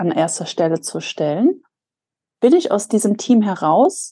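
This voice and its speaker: A woman speaks with a dark, mellow tone at a medium pitch. Her pace is fairly slow. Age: 30s. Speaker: podcast co-host. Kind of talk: casual chat.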